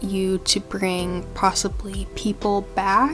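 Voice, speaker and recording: Music plays beneath the speech. A woman talks at a medium pitch. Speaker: book content creator. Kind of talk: casual talk to camera.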